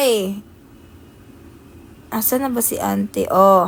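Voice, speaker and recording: A woman speaks in an animated tone. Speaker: live streamer. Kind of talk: casual chat.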